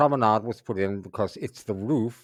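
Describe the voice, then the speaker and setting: A man's fairly low voice comes through a dry, close sound with no echo. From New York (Brooklyn). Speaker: English teacher. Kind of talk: reading aloud for shadowing practice. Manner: clear, deliberate pacing for learners.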